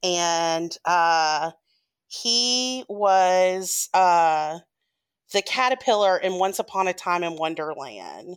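In a very clean recording with a silent background, a woman with an American accent talks at a very slow pace, her medium pitch showing ordinary variation. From Memphis, Tennessee (US South). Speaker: labor union organizer, trivia game writer. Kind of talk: trivia game hosting.

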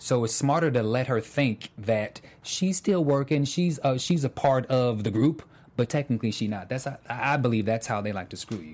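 Talking at a moderate pace, a man has a plain, everyday voice at medium pitch, with lively intonation. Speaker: after-show host. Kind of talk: casual panel chat.

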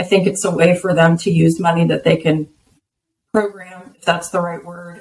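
A woman with a somewhat breathy, fairly low voice speaks in a flat, monotone way, though her loudness swings a lot. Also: moderate pace. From Texas. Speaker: bitcoin business development executive. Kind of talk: interview.

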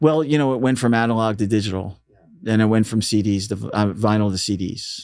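Rather quickly and with usual pitch movement, an unremarkable speaking voice talks on. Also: man, fairly low pitch for a man. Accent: American. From Philadelphia, Northeast. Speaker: radio DJ and station manager. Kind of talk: casual interview. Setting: studio.

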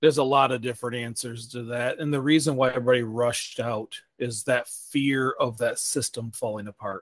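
A man talks with an ordinary speaking voice at medium pitch. He keeps his intonation fairly even and leaves hardly any pauses. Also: fairly quick pace. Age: 40s. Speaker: sustainability podcast host. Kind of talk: Q&A town hall answers; scripted podcast intro and outro.

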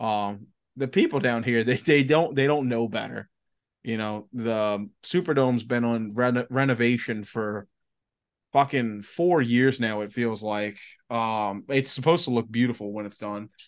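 With an American accent, a man speaks at a moderate pace and medium pitch, with ordinary pitch variation over a quiet background. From US South, Louisiana (Chalmette). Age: 30s. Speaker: podcast host. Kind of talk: casual chat.

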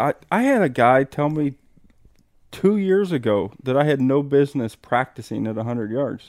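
A man with an American accent talks at a moderate pace and a fairly high pitch, his intonation lively. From US Midwest. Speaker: hunter. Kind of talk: casual chat. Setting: outdoors at hunting camp.

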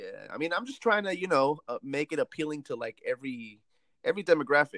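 A man talks at a very fast pace in a bright, sharp tone, with a dry, close sound with no echo and a quiet background. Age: 20s. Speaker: comedian. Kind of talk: casual chat. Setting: phone call.

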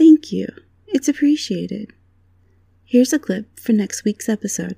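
A somewhat breathy woman with a fairly high pitch and a dark, mellow tone speaks at a fairly slow pace. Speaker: podcast host. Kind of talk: scripted narration.

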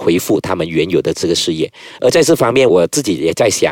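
The sound is dry and close, without any echo. A man speaks very fast. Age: 30s. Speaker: politician and lawyer. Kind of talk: casual interview.

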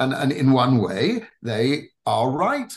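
A man with an English accent speaks at a medium pitch. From England. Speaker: rabbi. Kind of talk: interview.

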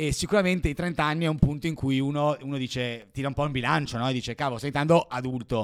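A man talks at a very fast pace with hardly any pauses. His pitch is fairly high for a man and moves in an ordinary way. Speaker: entrepreneur. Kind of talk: interview.

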